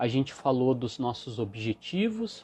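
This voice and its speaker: Against a quiet background, a man in a normal speaking voice talks at a fairly slow pace with lively intonation. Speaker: emotional wellbeing coach. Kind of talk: live stream talk. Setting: Instagram live.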